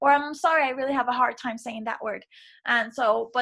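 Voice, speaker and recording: A woman with a non-native accent talks at a very fast pace in a bright, sharp tone with vocal fry. Her pitch varies in an ordinary way, and the recording is very clean with a silent background. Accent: non-native, sometimes mispronounces. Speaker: teacher. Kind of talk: reflective video feedback for a course. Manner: casual, with fillers.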